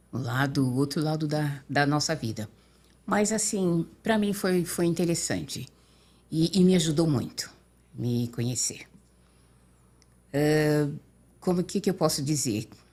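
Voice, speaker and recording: A woman with a very deep, low pitch at a fairly slow pace, with long, frequent pauses. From São Paulo state, Brazil (Limeira). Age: 60s. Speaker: interview guest. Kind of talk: podcast interview. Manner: halting.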